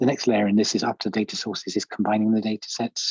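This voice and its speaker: Speaking at a very fast pace, a man with a fairly low pitch comes through in a dry, close sound with no echo. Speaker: software product specialist presenting a demo. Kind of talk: technical presentation. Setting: video call. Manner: hesitant, many fillers and repetitions.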